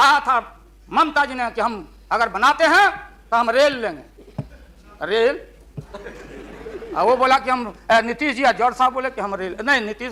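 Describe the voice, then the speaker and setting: A man with a Bihari accent, an extremely high pitch, lively intonation and a raised, projected voice, over noticeable background noise. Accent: Bihari Hindi. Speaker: politician. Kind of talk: parliamentary speech. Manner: humorous.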